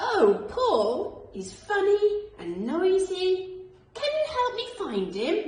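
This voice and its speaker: In a put-on character voice, a woman speaks at an extremely high pitch and a very slow pace with very wide pitch swings and a slight echo. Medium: read story.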